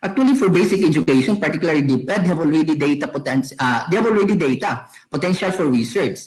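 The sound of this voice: A man's slightly mellow tone, lively intonation and a fairly quick pace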